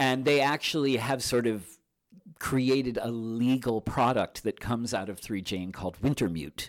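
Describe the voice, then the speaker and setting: A man with a normal speaking voice, medium pitch, ordinary pitch variation and a moderate pace, in a very clean recording with a silent background. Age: 50s. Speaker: magazine publisher. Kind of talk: interview. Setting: studio.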